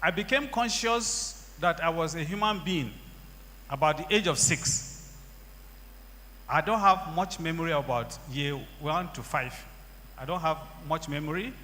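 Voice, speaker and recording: A man's fairly high voice with vocal fry, a bright, sharp tone and lively intonation, at a fairly slow pace with long, frequent pauses. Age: 60s. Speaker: church member giving testimony. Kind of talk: testimony.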